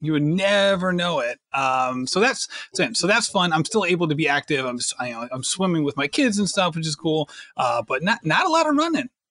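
Recorded dry and close with no echo, a man talks at a fairly quick pace in a high pitch with very wide pitch swings and a bright, sharp tone. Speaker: podcast host. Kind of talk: casual chat.

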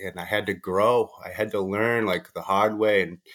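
A man speaks at a moderate pace in a fairly low voice with an American accent. The recording is very clean, with a silent background. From US, Boston, Massachusetts. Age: 30s. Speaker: recovering addict and rapper. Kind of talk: interview, personal testimony.

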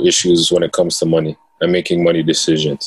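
A man talks at a moderate pace in a very deep, low voice, his intonation flat and monotone. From Toronto, Canada (Jane and Finch). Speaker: financial literacy educator and author. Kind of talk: casual interview.

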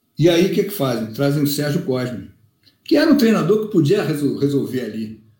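Fairly high in pitch, a man speaks at a fairly quick pace with very wide pitch swings. His tone is dark and mellow and somewhat breathy. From Rio de Janeiro, zona sul. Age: 50s. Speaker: football fan leader. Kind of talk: casual chat.

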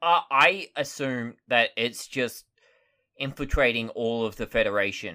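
Speaking with an Australian accent at a fairly slow pace, the voice has a bright, sharp tone and ordinary pitch variation. The recording is very clean, with a silent background. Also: man, medium pitch for a man. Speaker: podcast co-host. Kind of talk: casual chat. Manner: halting.

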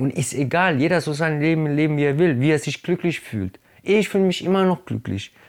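A man's normal speaking voice, fairly high in pitch with ordinary pitch variation, fairly quick, on a very clean recording with a silent background. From Germany, Italian family. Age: 30s. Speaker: hip-hop artist. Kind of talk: casual interview.

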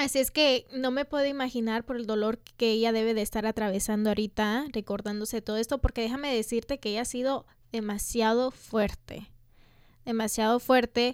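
On a very clean recording with a silent background and a dry, close sound with no echo, a woman with an unremarkable speaking voice talks at a fairly quick pace, fairly high in pitch, with fairly even intonation. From Los Angeles (Echo Park), US. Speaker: podcast co-host. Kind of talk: casual chat.

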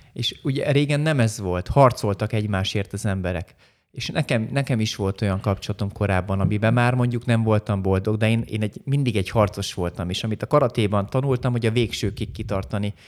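In a plain, everyday voice, the speaker talks fairly quickly with hardly any pauses and ordinary pitch variation, on a very clean recording with a silent background. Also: man, fairly low pitch for a man. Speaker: karate master and former champion. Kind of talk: interview.

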